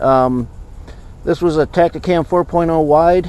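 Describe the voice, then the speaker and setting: A man speaks against noticeable background noise. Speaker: trapper and outdoor video host. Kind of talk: casual outdoor vlog narration. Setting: outdoors at a beaver trapline.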